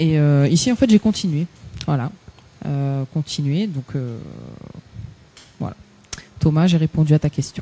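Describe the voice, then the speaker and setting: A woman speaks at a fairly slow pace with a very deep, low pitch. Her pitch variation is ordinary, and her pauses are long and frequent. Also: dry, close sound with no echo. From Paris region, France. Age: 30s. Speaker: singer. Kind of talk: radio interview.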